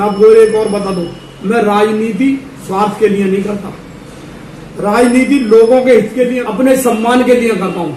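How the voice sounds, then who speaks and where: Amid noticeable background noise and audible room echo, a man with a high pitch talks at a moderate pace with fairly even intonation. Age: 60s. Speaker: local politician. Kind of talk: interview.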